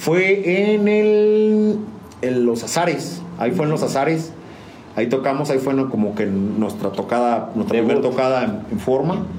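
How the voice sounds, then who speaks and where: A man talks at a fairly slow pace with very wide pitch swings and very even loudness, over noticeable background noise and audible room echo. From San Juan del Río, Querétaro, Mexico. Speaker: musician. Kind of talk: casual interview. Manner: halting, frequent fillers and repetitions.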